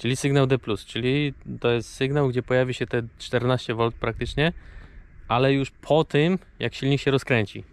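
At a moderate pace and with fairly even intonation, a man speaks in a dry sound with no echo. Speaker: camper van vlogger. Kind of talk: casual vlog tutorial explanation. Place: open country. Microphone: phone near.

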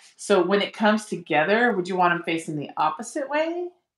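A woman speaks at a moderate pace, with audible room echo over a quiet background. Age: 40s. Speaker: beginner sewer, host's sister; host's sister. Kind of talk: casual chat while sewing along. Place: home room.

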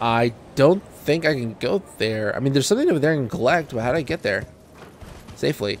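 Over noticeable background noise, a man speaks with lively intonation at a fairly quick pace. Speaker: gaming YouTuber. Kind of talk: let's play commentary. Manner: soft-spoken.

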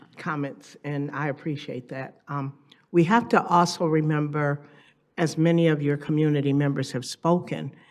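A woman's very deep, low pitch at a moderate pace, with fairly even intonation. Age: 60s. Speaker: resident speaking at public comment. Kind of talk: public comment at council meeting. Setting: city council meeting.

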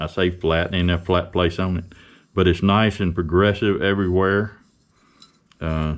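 Very deep and low, a man's voice moves at a fairly slow pace. His intonation is monotone and flat. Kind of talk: casual workshop tutorial. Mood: relaxed, folksy. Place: workshop. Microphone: camera far.

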